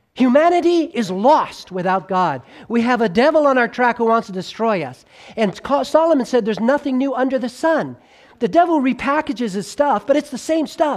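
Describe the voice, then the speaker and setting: A man's extremely high-pitched, animated voice with lively intonation and an American accent. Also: fairly quick pace. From Los Angeles, US. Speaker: preacher. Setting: church. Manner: animated, conversational, rhetorical questions to the audience, with humor and stories.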